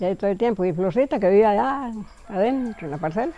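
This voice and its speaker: A woman's medium-pitched voice, dark and mellow in tone, with lively intonation at a very fast pace. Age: 80s+. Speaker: community elder, village founder. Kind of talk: interview, personal recollection. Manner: halting.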